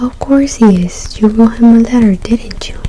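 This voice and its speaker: A woman speaks softly in a gentle tone. There is noticeable background noise. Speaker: ASMR creator. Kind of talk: ASMR story reading, soft spoken. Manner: soft-spoken, gentle.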